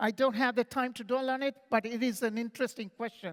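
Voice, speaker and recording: This man's voice sits extremely high for a man, with fairly even intonation and a dry, close sound free of echo. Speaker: conference speaker on AI. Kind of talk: conference talk. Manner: fast; halting with restarts.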